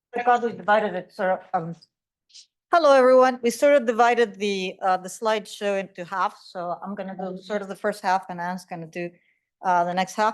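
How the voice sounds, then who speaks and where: With medium pitch and ordinary pitch variation, a woman speaks at a fairly quick pace, her loudness swinging a lot. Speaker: college English teacher. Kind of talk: conference panel presentation.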